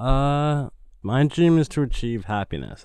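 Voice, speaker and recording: A man is speaking. He has a New York accent. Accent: New York American. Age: 20s. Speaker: shoe designer and film director. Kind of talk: casual chat. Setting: studio.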